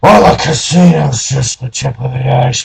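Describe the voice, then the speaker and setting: Putting on a character voice, a man speaks at a moderate pace in a weary tone. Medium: read story. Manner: world-weary, knowing.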